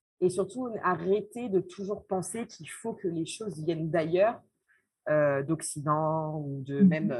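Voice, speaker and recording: Speaking at a fairly slow pace, a woman has a very deep, low pitch with ordinary variation. Her voice is somewhat breathy. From France. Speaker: social entrepreneur, association founder. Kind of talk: interview. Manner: hesitant, frequent fillers.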